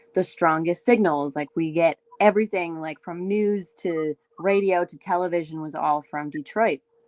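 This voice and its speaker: With an Ontario accent, a woman speaks at a moderate pace in a fairly low pitch with ordinary pitch variation. Her loudness swings widely, in a dry, close sound with no echo. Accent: Canadian (Ontario). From Canada, Windsor, Ontario. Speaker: singer-songwriter. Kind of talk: casual chat.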